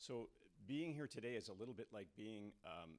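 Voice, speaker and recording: A man's normal speaking voice with a Canadian accent, at a fairly quick pace with ordinary pitch variation. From Canada. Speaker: hydrogeologist, university professor. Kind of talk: lecture. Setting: stage with audience. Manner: frequent fillers (um, uh) and repetitions.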